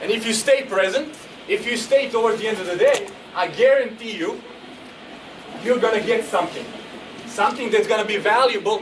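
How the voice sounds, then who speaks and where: With a Croatian accent, a man speaks at an extremely high pitch in an animated tone, at a fairly quick pace with long, frequent pauses and ordinary pitch variation. Audible room echo and noticeable background noise fill the recording. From Croatia, Zagreb. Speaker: motivational speaker. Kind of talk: motivational speech. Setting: stage with audience. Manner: fast.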